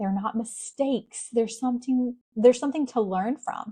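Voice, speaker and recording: This woman speaks in a Southern US accent. Her voice is somewhat breathy, with ordinary pitch variation. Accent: Southern US, noticeable. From US South, South Carolina. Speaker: podcast host. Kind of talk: motivational faith podcast monologue. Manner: casual, conversational.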